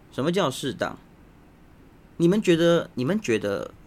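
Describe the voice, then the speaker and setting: Very wide pitch swings run through a man's speech at a fairly slow pace. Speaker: podcast host. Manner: casual, joking.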